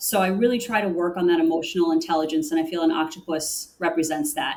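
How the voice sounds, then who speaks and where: Lively intonation marks a woman's fairly quick talk in a normal speaking voice. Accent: American. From US Northeast, Connecticut. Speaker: corporate sustainability director. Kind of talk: interview.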